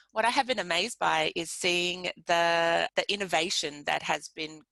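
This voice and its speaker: With an Australian accent and some vocal fry, a woman speaks at a fairly slow pace in a fairly low, bright and sharp voice, recorded dry and close with no echo against a quiet background. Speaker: pediatric nurse researcher. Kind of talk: webinar presentation. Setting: live webinar.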